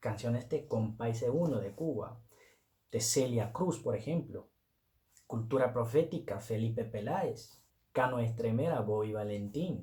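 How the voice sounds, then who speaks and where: A man's medium-pitched, dark, mellow and somewhat breathy voice, with ordinary pitch variation and a fairly slow pace. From Netherlands, Turkish family. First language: Turkish or Dutch (speaking Spanish). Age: 20s. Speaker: Spanish learner vlogger. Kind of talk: personal story vlog. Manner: casual, conversational.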